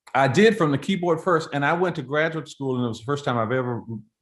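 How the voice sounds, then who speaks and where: A man speaks with very wide pitch swings. The background is quiet. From Florida. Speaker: composer and choral conductor. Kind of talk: interview. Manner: conversational, with frequent fillers and restarts.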